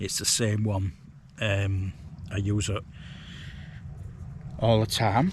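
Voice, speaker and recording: Very slow and broken by long, frequent pauses, a man speaks at a fairly low pitch in a monotone, flat intonation. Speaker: hiking and wild camping vlogger. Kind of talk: casual vlog monologue. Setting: outdoors, wild camp on moors. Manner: hesitant, many fillers; speaking quietly.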